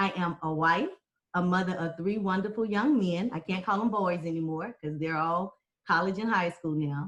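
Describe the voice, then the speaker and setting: A woman with an American accent and a normal speaking voice, medium in pitch, at a moderate pace with ordinary pitch variation. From Texas. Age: 40s. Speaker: political candidate. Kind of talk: debate forum.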